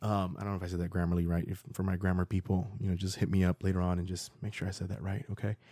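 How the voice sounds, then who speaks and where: A man with an American accent talks very fast with hardly any pauses, his very deep, low voice dark and mellow on a very clean recording with a silent background. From Florida. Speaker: podcast host. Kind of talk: solo podcast monologue. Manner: animated.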